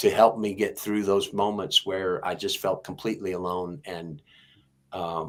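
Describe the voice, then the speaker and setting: A man's fairly low voice with a slight Texas accent, at a fairly slow pace, in a very clean recording with a silent background. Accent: slight Texas twang. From Texas, Houston. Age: 60s. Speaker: singer-songwriter. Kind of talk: interview testimony. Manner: halting.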